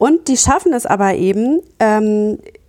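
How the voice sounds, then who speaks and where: In a very clean recording with a silent background, a woman speaks with a dark, mellow tone at a fairly high pitch. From Germany, Gütersloh (Westphalia). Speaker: TV journalist. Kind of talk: interview conversation.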